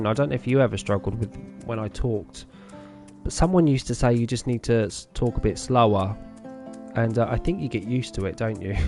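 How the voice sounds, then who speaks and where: Music plays in the background as a man with a British accent talks at a fairly quick pace in a medium pitch, using lively intonation and long, frequent pauses. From Britain.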